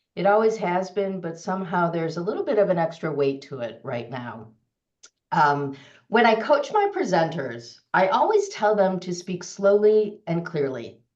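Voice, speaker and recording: A woman at a moderate pace with vocal fry and very wide pitch swings, plus audible room echo. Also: medium pitch for a woman. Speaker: storytelling coach and consultant. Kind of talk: webinar presentation.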